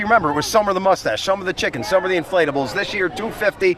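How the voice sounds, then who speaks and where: Words tumble out at a very fast pace. There is noticeable background noise behind them. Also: man. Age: 60s. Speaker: TV host on charity bike ride. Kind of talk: live outdoor broadcast chat. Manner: animated.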